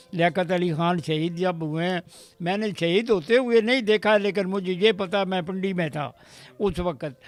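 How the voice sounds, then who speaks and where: A man talks with ordinary pitch variation. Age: 80s+. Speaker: army veteran. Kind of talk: interview testimony. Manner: halting.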